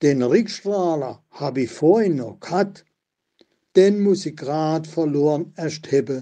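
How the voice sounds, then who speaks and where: A man's fairly high voice in an Odenwald accent, very slow, with lively intonation. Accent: Odenwald Baden dialect. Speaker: local historian. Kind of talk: dialect poetry reading.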